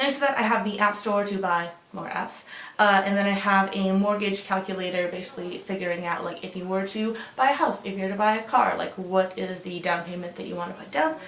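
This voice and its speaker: A woman talks at a fairly quick pace with ordinary pitch variation. The room echoes audibly, and background noise is noticeable. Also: medium pitch for a woman. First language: Russian. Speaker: lifestyle vlogger. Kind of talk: casual vlog walkthrough. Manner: casual with frequent fillers.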